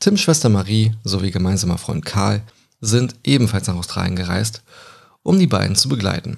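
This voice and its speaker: With vocal fry and lively intonation, a man with a fairly low pitch speaks at a moderate pace. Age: 20s. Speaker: true crime podcaster. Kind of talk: storytelling narration.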